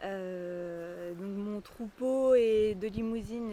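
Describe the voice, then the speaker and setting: A woman speaks over noticeable background noise. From Brittany, Finistère. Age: 30s. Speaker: beef cattle farmer. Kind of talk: interview testimony. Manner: hesitant, many fillers.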